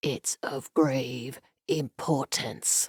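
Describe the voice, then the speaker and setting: This put-on character voice whispers with a strained, growling quality. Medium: read story. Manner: strained whisper.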